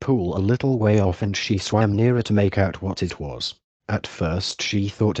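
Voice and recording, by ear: In a quiet background, someone is reading aloud in a natural voice.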